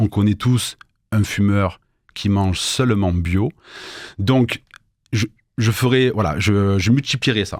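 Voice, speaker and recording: Very slow, with long, frequent pauses, a man at fairly low pitch with ordinary pitch variation speaks in a very clean recording against a silent background. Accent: southern French. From southern France, Avignon. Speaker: entrepreneur, business consultant. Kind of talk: radio interview. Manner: hesitant, many fillers.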